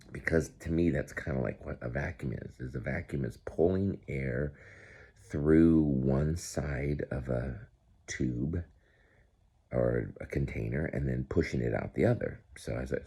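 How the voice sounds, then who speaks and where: A man speaks in a very deep, low pitch with a dark, mellow tone. His pace is fairly slow. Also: ordinary pitch variation. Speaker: grandfather making science videos for grandchildren. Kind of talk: casual talk to camera for a grandchild. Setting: indoors at home, early morning. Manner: soft-spoken; halting.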